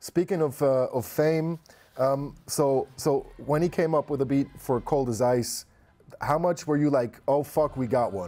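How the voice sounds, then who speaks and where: A man speaks in a plain, everyday voice. He is fairly high-pitched and talks at a fairly slow pace. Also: ordinary pitch variation. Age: 40s. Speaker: interviewer. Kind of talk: interview. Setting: video call.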